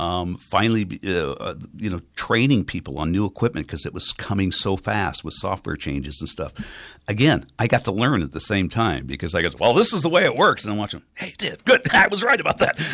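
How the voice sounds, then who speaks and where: At a fairly quick pace, a man with an American accent speaks in a bright, sharp tone with vocal fry and very wide pitch swings, on a very clean recording with a silent background. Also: fairly low pitch for a man. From US West Coast, San Francisco Bay Area. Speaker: radio station manager. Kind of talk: interview. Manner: trained clear enunciation.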